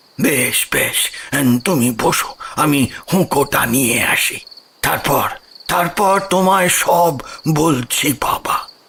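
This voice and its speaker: In a raspy, put-on character voice, a man talks at a very slow pace and a fairly high pitch with very even loudness. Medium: audio drama. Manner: hesitant, halting, repeats words.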